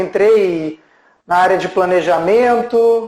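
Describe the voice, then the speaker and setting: His voice is high for a man, with ordinary pitch variation. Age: 40s. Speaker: HR manager. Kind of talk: casual live stream chat.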